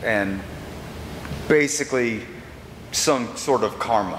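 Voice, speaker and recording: Over light background noise, a man talks at a very slow pace in a room with audible echo. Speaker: pastor. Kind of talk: sermon. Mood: wry, conversational. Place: church. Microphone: camera far.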